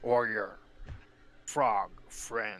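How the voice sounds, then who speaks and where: A man puts on a character voice and keeps it at a medium pitch. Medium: actual play. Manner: surly, curt, dismissive.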